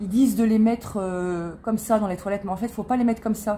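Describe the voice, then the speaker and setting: At a fairly quick pace, a woman speaks with a dark, mellow tone that is somewhat breathy. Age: 40s. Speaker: lifestyle vlogger. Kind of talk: product haul, casual. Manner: hesitant, filler-heavy.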